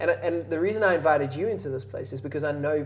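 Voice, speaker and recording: Over noticeable background noise and audible room echo, a man talks at a very fast pace. His pitch is fairly high and his intonation lively. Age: 30s. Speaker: podcast host. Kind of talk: podcast interview.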